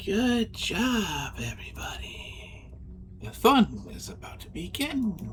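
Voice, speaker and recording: Someone does a put-on character voice at a fairly slow pace, with clear background noise behind it. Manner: creepy, eerie.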